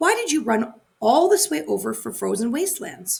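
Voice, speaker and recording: A woman's put-on character voice, fairly high in pitch, at a moderate pace. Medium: read story. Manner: firm, brisk.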